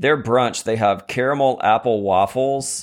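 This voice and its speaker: This man has a normal speaking voice with ordinary pitch variation and a moderate pace. The recording is very clean, with a silent background. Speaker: podcast co-host. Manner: joking, interrupts playfully.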